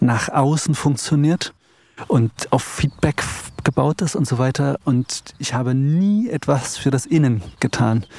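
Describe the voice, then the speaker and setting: Against noticeable background noise, a man talks at a fairly slow pace with ordinary pitch variation, the sound dry and close with no echo. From Eichsfeld, Thuringia, Germany. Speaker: composer and pianist. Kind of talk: casual chat. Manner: halting.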